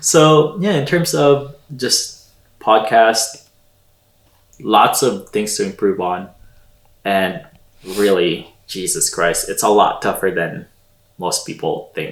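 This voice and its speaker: A man with a Filipino accent talks at a very slow pace. He leaves long, frequent pauses. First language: Tagalog. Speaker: podcast co-host. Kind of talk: casual chat.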